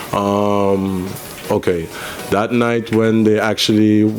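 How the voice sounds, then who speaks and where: A man's fairly low, monotone voice with flat intonation at a fairly slow pace, amid noticeable background noise. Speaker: small business owner. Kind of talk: radio interview.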